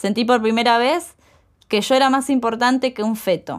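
The recording is very clean, and the background is silent. A woman talks at a moderate speed. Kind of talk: spoken word testimony, read aloud as a first-person story. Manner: impassioned, rhythmic, defiant; urgent, building to a rallying cry.

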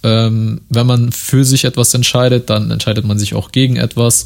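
Flat, monotone intonation at a moderate pace. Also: man. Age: 20s. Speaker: podcast host. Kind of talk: solo monologue podcast. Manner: casual, many filler words.

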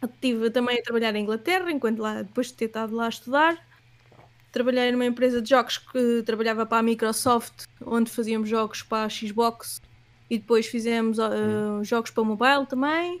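Fairly even intonation and a fairly quick pace mark a plain, everyday voice. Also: woman, fairly high pitch for a woman. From Portugal, Leiria. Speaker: animator and illustrator. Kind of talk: casual interview.

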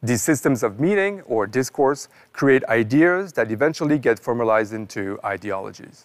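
With a French accent, a man at medium pitch speaks at a moderate pace with lively intonation and hardly any pauses. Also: very clean recording, silent background. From northern France. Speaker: professor. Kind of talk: scripted narration. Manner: formal.

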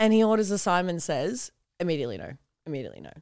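A woman with an Australian accent, very fast in pace, with very wide pitch swings. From Newcastle, Australia. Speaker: online content creator. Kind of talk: casual chat.

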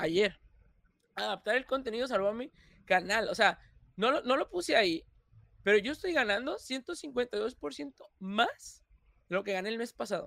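Recorded very cleanly with a silent background and a dry, close sound without echo, a man speaks at a fairly slow pace in a high, bright, sharp voice, with lively intonation and long, frequent pauses. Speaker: content creator. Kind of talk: casual chat. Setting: livestream.

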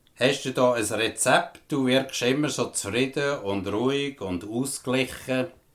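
Against noticeable background noise, the speaker goes at a fairly slow pace with ordinary pitch variation and hardly any pauses. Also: man, medium pitch for a man. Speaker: podcast host. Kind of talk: interview.

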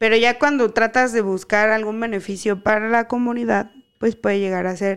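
Her voice is fairly high, with fairly even intonation at a moderate pace. The recording of this woman is very clean, with a silent background. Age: 30s. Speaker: tech podcast co-host. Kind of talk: casual chat. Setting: home recording, not a professional set.

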